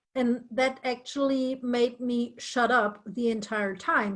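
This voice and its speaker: A woman's fairly high voice with a German accent on a very clean recording with a silent background. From northern Germany. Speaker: interview guest. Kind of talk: casual chat.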